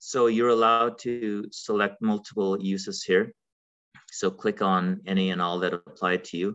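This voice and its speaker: A man with a fairly low pitch talks in a flat, monotone intonation. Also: moderate pace, quiet background. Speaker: webinar presenter. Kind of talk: lecture. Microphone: webcam.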